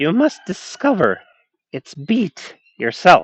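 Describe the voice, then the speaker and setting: A man puts on a high character voice, speaking at a fairly slow pace. His pitch swings very widely, and the sound is dry and close with no echo. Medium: read story. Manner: wheedling.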